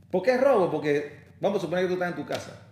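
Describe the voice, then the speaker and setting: Very wide pitch swings mark this man's high-pitched voice. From Panama. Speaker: lawyer. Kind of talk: interview conversation. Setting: office.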